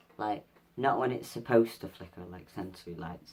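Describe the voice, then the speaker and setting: With a Mancunian accent, this man has a fairly low voice and ordinary pitch variation. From Manchester, England. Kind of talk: casual vlog. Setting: at home, in pajamas.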